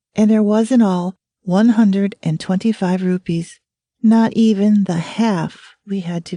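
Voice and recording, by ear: With little in the background, the speaker reads aloud naturally.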